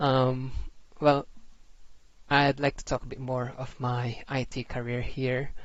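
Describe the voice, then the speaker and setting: At a very slow pace with long, frequent pauses, a man talks in a medium pitch and flat monotone. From Philippines. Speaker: IT systems administrator and tech tutorial creator. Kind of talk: tutorial presentation with slides. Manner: casual, halting with fillers.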